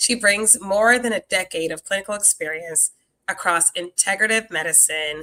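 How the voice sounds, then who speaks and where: Bright and sharp in tone, a woman speaks at a medium pitch and moderate pace with ordinary pitch variation in a dry, close sound with no echo. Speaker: podcast host and nurse. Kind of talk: podcast introduction. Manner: filler-heavy with um.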